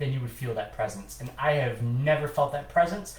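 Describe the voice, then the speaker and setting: A man is speaking. Room echo is audible. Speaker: demonologist and podcast co-host. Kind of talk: casual chat.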